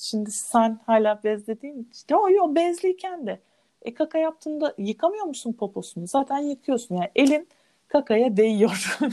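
Very wide pitch swings mark a dark, mellow tone at a fairly slow pace, with a dry, close sound with no echo. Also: woman. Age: 30s. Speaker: minimalism content creator. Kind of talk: casual chat.

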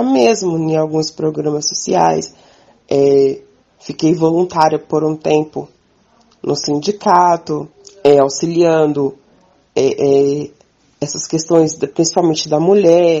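A woman speaks at a very slow pace in a very deep, low pitch. She leaves long, frequent pauses. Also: lively intonation. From Minas Gerais, Brazil. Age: 20s. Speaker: farmer and community communicator. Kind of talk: interview testimony.

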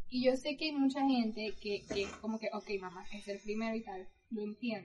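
This woman has an unremarkable speaking voice at a fairly high pitch. She speaks at a moderate pace with ordinary pitch variation. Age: 20s. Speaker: podcast co-host. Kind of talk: casual chat.

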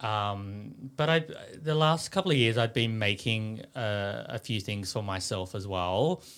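In an Australian accent, a man talks at a fairly slow pace with lively intonation. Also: fairly low pitch for a man. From Sydney, Australia (western suburbs). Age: 40s. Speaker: fashion designer. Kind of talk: interview. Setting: studio.

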